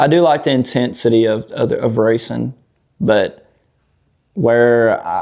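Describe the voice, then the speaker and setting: A man in a Southern US accent speaks at medium pitch with a dark, mellow tone. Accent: Southern drawl. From Tennessee. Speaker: off-road YouTuber. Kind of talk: casual podcast chat. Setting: outdoors.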